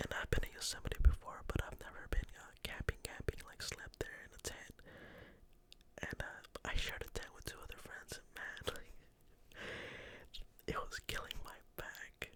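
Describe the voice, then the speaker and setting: A man whispers at a fairly slow pace. His loudness swings a lot. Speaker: ASMR content creator. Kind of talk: casual whisper ramble to camera. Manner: whispered.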